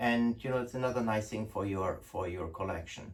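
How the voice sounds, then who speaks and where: A man with a German accent sounds somewhat breathy, his pitch varying in an ordinary way. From Germany. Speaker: gun importer. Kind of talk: product presentation. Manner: casual, hesitant with fillers.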